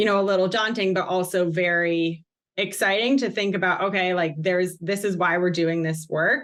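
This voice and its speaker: In an American accent, this is a normal speaking voice at a moderate pace. Loudness stays very even and intonation fairly even. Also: woman, medium pitch for a woman. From Massachusetts, US. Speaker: company social impact staff. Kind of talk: podcast interview.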